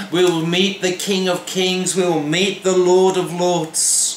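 With a Welsh accent, a man speaks at a very slow pace in a high pitch. Audible room echo and light background noise surround him. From Wales. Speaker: pastor. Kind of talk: devotional sermon to camera. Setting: home kitchen. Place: kitchen. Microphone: phone near.

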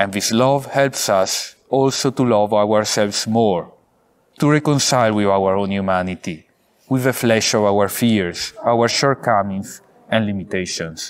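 Speaking with an Italian accent, a man keeps a fairly low pitch with ordinary variation, a fairly slow pace, and very even loudness. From Italy, Vicenza; Italy. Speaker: priest, theology graduate; priest. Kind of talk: valedictory speech. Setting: pre-recorded video, outdoors at a seminary. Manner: formal. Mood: warm, grateful, earnest. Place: garden.

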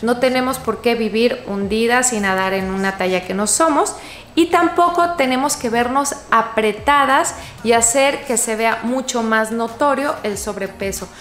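With lively intonation, a woman speaks at a fairly high pitch while light background noise and audible room echo fill the recording. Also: fairly slow pace. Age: 40s. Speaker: fashion youtuber. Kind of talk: tutorial. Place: home room.

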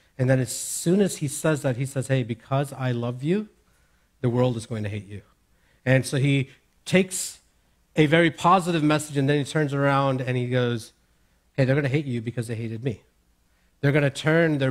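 This man talks at a fairly quick pace with ordinary rises and falls in pitch. The background is quiet. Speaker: preacher. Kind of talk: sermon. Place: church. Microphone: headset.

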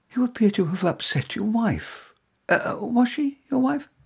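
A man puts on a character voice at an extremely high pitch, husky and rough-edged with vocal fry and a slightly mellow tone, swinging his pitch widely at a fairly slow pace.

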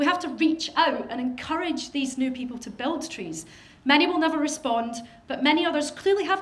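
A woman with a Scottish accent, high-pitched with ordinary pitch variation, at a fairly quick pace, with audible room echo and noticeable background noise. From Scotland. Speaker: professional genealogist. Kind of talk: lecture. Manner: fast.

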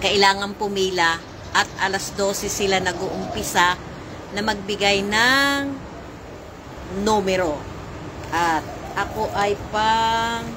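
Amid noticeable background noise, a woman talks at a very slow pace with long, frequent pauses and ordinary pitch variation. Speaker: vlogger. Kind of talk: casual vlog chat. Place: garden. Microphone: phone near.

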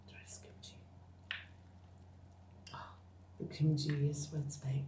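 Soft-spoken whispering carries audible room echo and light background noise. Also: woman. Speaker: ASMR eating creator. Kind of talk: ASMR eating video, casual talk to camera. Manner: whispered, soft-spoken. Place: home room. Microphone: phone near.

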